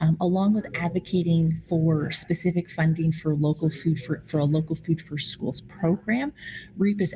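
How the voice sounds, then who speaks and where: A woman speaks in a fairly low, somewhat breathy voice with a dark, mellow tone and fairly even intonation. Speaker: food policy advocate at a nonprofit. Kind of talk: virtual meeting presentation. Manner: many fillers and false starts.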